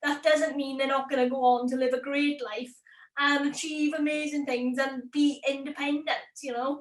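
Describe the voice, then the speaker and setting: A woman speaks high-pitched with a strong Welsh accent. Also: moderate pace. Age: 20s. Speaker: YouTube creator. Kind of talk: interview. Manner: animated.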